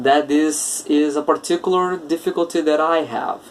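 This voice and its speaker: At a moderate pace, a man with a Portuguese accent speaks at a fairly high pitch against noticeable background noise. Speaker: English teacher. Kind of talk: podcast monologue.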